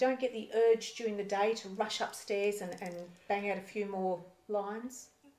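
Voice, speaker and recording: Over noticeable background noise, a woman with a fairly high pitch talks at a moderate pace, her loudness swinging widely. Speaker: interviewer. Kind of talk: interview questions.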